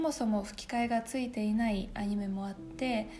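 Over light background noise, a woman with a Russian accent and a fairly high pitch speaks at a moderate pace with ordinary pitch variation. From Russia, small town. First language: Russian (speaking Japanese). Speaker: YouTuber, university student; YouTuber. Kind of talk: casual Q&A vlog. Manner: casual, chatty. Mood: warm, relaxed. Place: home room.

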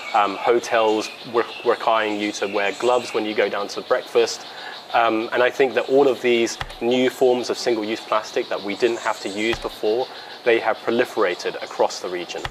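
The man's monotone, flat intonation comes at a moderate pace, with noticeable background noise behind it. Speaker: interviewee. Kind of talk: interview answer. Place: garden. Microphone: lapel.

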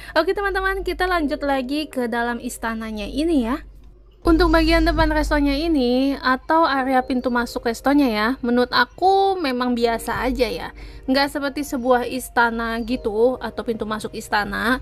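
Her intonation is lively. The woman's voice sits high in pitch. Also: moderate pace. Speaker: travel vlogger narrating. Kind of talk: travel vlog narration.

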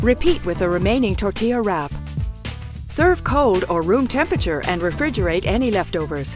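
Clear music plays in the background as a woman talks at a moderate pace, the sound dry with no echo. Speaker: voice actor. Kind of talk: recipe video narration. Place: studio.

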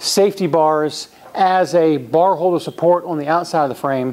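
This man speaks with a high pitch and ordinary pitch variation. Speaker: presenter. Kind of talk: product demonstration. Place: gym. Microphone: lapel.

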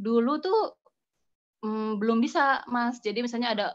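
At a moderate pace, a woman uses a normal speaking voice, fairly high in pitch, with ordinary pitch variation. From Bandung, West Java, Indonesia; West Java, Indonesia. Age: 40s. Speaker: food photographer. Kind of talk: online class presentation. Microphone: phone; video call.

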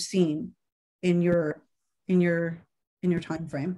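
A woman's dark, mellow tone comes through over a quiet background. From Canada. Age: 50s. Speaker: interviewer. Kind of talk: interview. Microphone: video call.

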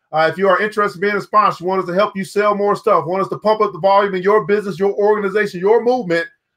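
A man talks very fast in a high, fairly bright voice with fairly even intonation.

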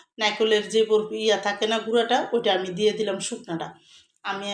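A fairly high-pitched woman's voice with monotone, flat intonation. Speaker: cooking vlogger. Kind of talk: cooking tutorial.

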